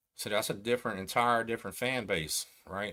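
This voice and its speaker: A man with an American accent talks at a fairly low pitch. The recording is very clean, with a silent background. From Texas. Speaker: YouTube host, former gang member and prisoner. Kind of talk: livestream commentary. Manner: casual, conversational.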